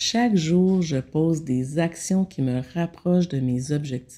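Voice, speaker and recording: In a very clean recording with a silent background, a woman speaks very slowly with a calm, dark, mellow tone, a very deep, low pitch and ordinary pitch variation. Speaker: meditation guide and consultant. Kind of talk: self-help talk.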